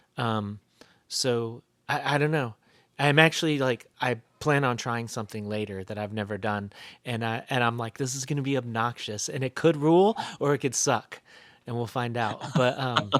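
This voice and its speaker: A man with an American accent talks at medium pitch and a moderate pace. His pitch varies in an ordinary way, and the recording is very clean with a silent background. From US South, North Carolina (near Asheville). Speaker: band vocalist. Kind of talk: casual interview chat. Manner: halting, many fillers and restarts.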